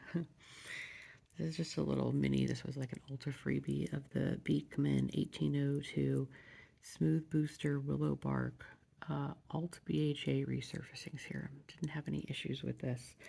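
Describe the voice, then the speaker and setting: A soft-spoken man talks at a moderate pace. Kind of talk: ASMR soft-spoken product review.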